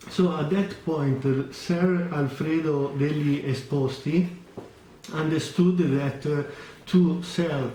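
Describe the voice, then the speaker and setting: A man at a very slow pace and a fairly high pitch, with audible room echo and noticeable background noise. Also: fairly even intonation. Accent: Italian. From Italy. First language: Italian. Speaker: watch vlogger. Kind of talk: product review vlog. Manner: halting, many fillers.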